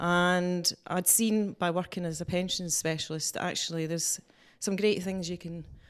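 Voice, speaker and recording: A woman with a Scottish accent speaks at a fairly low pitch in a flat monotone at a moderate pace, in a very clean recording with a silent background. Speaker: employment lawyer, business owner. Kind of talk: interview. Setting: office.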